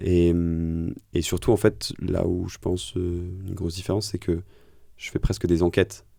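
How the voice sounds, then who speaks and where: This man has a very deep, low pitch and a dark, mellow tone, with ordinary pitch variation. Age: 30s. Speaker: podcast host and founder, former tax lawyer. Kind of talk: interview conversation.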